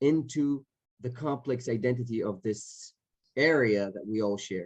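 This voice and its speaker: A man with a medium pitch uses lively intonation. The sound is dry and close, with no echo. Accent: Israeli. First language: Hebrew. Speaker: actor. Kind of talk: panel Q&A. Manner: halting, many repetitions.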